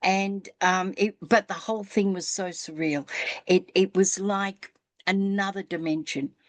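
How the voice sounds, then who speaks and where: A woman in an ordinary speaking voice talks fairly slowly at medium pitch with fairly even intonation, recorded dry and close with no echo. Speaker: spiritual podcast host. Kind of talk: casual storytelling in interview conversation.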